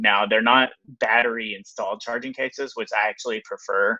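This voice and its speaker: In a Texas accent, a man talks at a fairly quick pace and medium pitch. His tone is bright and sharp against a quiet background. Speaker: filmmaker. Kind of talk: live stream product review. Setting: live stream. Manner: hesitant, many fillers; casual.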